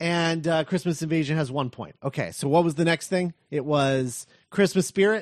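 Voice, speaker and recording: A man at a moderate pace with ordinary pitch variation, in a dry, close sound with no echo. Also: fairly high pitch for a man. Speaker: podcast host. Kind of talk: casual chat. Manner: halting.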